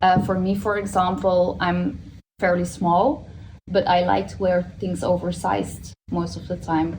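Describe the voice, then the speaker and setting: Speaking fairly slowly with a Dutch accent, a woman's loudness swings widely. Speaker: stylist. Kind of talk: panel discussion. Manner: halting, many fillers.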